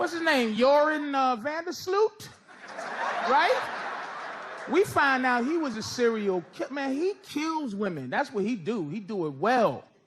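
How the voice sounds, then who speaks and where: A man speaks at a fairly slow pace in an extremely high pitch, his voice swinging very widely, with noticeable background noise behind him. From United States. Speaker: stand-up comedian. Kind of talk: live stand-up comedy set. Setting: live audience venue.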